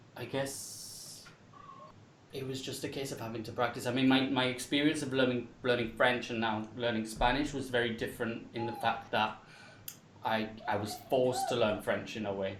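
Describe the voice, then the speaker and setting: A man with an English accent and monotone, flat intonation, amid audible room echo and noticeable background noise. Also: medium pitch for a man, moderate pace. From England. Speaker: English teacher. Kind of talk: panel discussion. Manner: halting.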